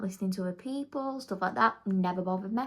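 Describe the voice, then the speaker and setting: This woman has a slight Manchester accent. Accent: slight Manchester accent picked up. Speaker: beauty vlogger. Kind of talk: casual chat. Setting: at home doing makeup. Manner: chatty, filler-heavy.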